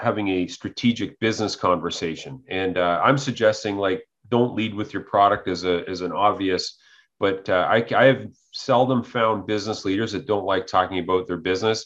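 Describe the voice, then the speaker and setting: In an ordinary speaking voice, a man talks at a moderate pace with fairly low pitch and ordinary pitch variation against a quiet background. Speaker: podcast host. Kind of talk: interview.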